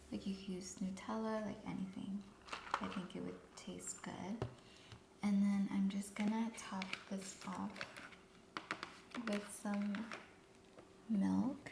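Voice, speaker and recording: A woman talks at a very slow pace with long, frequent pauses, fairly even intonation and a calm tone. Noticeable background noise sits behind her. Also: medium pitch for a woman. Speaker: ASMR creator doing a cafe barista roleplay. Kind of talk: soft-spoken ASMR roleplay. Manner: soft-spoken, calm, customer-service tone.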